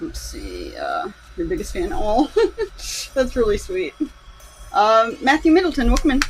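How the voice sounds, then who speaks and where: Quiet speech with long, frequent pauses plays over music in the background. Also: moderate pace. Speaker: animator streamer. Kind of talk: live stream commentary while working. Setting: live stream. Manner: casual, halting with fillers.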